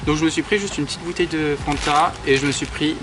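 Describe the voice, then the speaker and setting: A man with a fairly high voice talks fairly quickly amid noticeable background noise. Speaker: makeup artist vlogger. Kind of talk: casual vlog talk.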